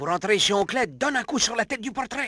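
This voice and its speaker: A man's put-on character voice, raised and projected, extremely high and very fast, with a dry, close sound and no echo. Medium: fan dub. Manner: formal, deferential.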